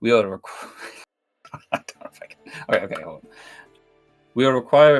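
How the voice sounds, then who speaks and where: A raspy, put-on character voice with a Russian accent races along at a very fast pace, broken by long, frequent pauses. Faint music plays in the background. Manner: hesitant, careful, self-conscious.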